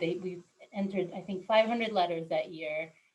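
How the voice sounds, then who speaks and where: A woman speaks with a Spanish accent. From Argentina (Buenos Aires) until age 6, then Northern Virginia, US. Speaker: local elected official. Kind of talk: interview.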